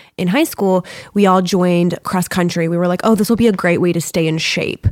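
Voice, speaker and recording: Using a normal speaking voice, a woman talks at a fairly quick pace with a fairly low pitch, in dry, close sound with no echo. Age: 30s. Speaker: yoga teacher. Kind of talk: casual chat.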